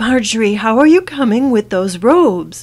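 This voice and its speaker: A female-sounding, put-on character voice comes in at a fairly high pitch for a woman. The pace is moderate. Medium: read story. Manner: brisk, urgent.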